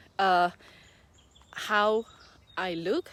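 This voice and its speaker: A woman with a non-native accent speaks with ordinary pitch variation. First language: not English. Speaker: online business owner and mentor. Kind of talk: casual vlog talk. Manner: hesitant, many fillers.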